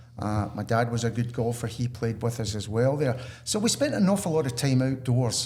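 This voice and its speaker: A man with a Scottish accent speaks at a fairly quick pace. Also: medium pitch for a man, ordinary pitch variation. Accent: genuine Scottish. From Scotland. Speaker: retail salesperson. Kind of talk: podcast interview.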